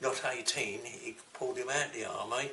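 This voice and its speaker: A man with an English accent at a moderate pace, amid noticeable background noise. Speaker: war veteran. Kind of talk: interview answer.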